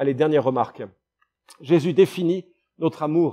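Fairly high in pitch, a man's voice has a dark, mellow tone and ordinary pitch variation. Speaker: pastor. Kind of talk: sermon. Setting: church. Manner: fervent, earnest preaching with emphatic repetition; conversational, warm, occasionally hesitant.

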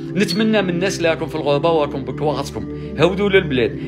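Clear music sounds in the background. Over it, a man talks. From Algeria. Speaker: emigrant son returning home. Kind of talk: emotional personal video talk. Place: home room. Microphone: phone near.

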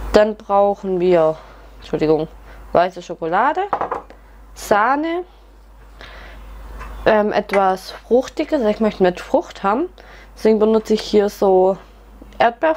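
A woman speaks at a fairly slow pace with long, frequent pauses. Her pitch swings very widely over light background noise. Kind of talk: tutorial. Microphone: camera far.

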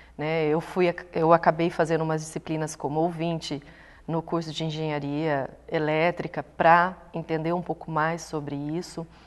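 A woman speaks at a moderate pace in a very deep, low pitch. Her intonation is monotone and flat. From Brazil, Londrina (Paraná); Paraná, Brazil. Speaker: sports science researcher and lecturer; lecturer. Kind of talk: interview. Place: studio. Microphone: lapel.

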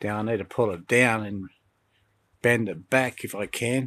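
This man has an Australian accent and a fairly low pitch. His intonation is monotone and flat, and the sound is dry with no echo. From Lithgow, Australia. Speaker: CB radio hobbyist. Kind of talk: casual talk to camera. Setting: outdoors. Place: garden. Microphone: phone near.

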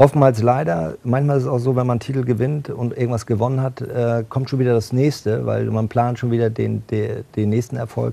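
Keeping a fairly quick pace, a man speaks with fairly even intonation. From northern Germany, Bad Schwartau near Lübeck; northern Germany. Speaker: football club executive and former handball player; talk show guest. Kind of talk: TV talk show interview. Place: studio. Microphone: lapel.

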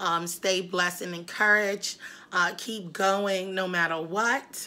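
This woman's pace is very slow. Ordinary pitch variation shapes her speech. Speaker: vlogger. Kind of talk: casual vlog chat. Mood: warm, encouraging, upbeat. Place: kitchen. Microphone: phone near.

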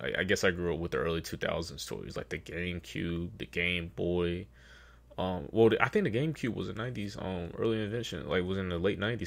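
At a moderate pace, a man speaks in a very deep, low pitch. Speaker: reaction video creator. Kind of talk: casual reaction commentary. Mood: relaxed, chatty.

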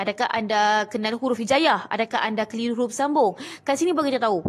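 A woman's high voice at a very fast pace. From Malaysia. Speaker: Quran reading teacher; Quran reading teacher, seller. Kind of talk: live-stream tutorial. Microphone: phone near.

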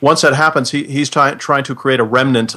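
A man with an American accent speaks at a fairly quick pace in a medium pitch, his tone bright and sharp, on a very clean recording with a silent background. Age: 50s. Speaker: retired army officer. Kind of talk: casual chat.

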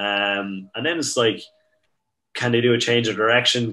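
Speaking with an Irish accent, a man uses a bright, sharp tone, fairly even intonation and a moderate pace. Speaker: strength and conditioning coach. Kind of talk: casual chat.

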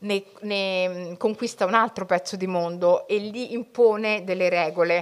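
Here a woman talks with ordinary pitch variation. The background is quiet. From Italy, Somali family background. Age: 40s. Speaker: writer and journalist; journalist. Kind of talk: public talk to school students. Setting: library event with live audience, streamed. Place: hall. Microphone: podium.

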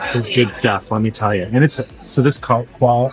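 Faint music plays in the background while a man talks at a moderate pace. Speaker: travel vlogger. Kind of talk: casual vlog chat. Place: station. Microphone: phone near.

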